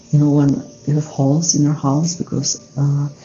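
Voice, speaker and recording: Someone with a European accent speaks over noticeable background noise. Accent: non-native English, European. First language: not English. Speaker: self-help coach. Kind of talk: casual talk to camera. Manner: hesitant, many filler sounds.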